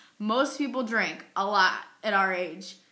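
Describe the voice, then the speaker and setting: A woman's bright, sharp tone, with audible room echo. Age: 20s. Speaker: epilepsy advocate. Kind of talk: personal testimony vlog. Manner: frequent pauses, occasional stutter.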